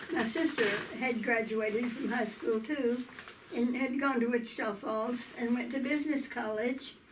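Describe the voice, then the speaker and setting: A woman talks at a high pitch with ordinary pitch variation, amid audible room echo and noticeable background noise. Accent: southern Oklahoma. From US South, southwestern Oklahoma. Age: 80s+. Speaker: interviewee telling life story. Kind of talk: oral history interview. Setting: video interview.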